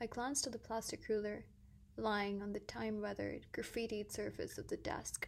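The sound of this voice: Text voiced in an unforced reading voice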